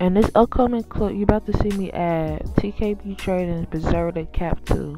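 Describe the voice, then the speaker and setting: Over music in the background, a woman with an American accent speaks at a moderate pace. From Milwaukee, Wisconsin. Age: 20s. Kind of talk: voiceover for a makeup tutorial.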